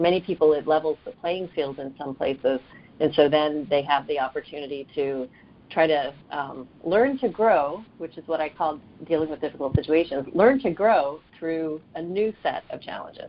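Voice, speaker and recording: A woman speaks with an American accent at a very deep, low pitch. Her pitch varies in an ordinary way. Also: moderate pace. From US South, Atlanta area. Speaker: career advisor and author. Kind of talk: interview.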